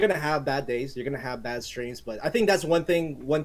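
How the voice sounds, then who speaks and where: The pace from this man is very fast. Lively intonation runs through his words. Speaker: gaming streamer. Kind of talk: casual podcast chat. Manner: loud, energetic.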